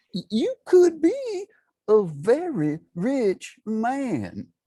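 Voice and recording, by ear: A man performs a put-on character voice at an extremely high pitch, with very wide pitch swings and a dark, mellow tone with a slightly husky edge. He speaks at a very slow pace in a dry, close sound with no echo.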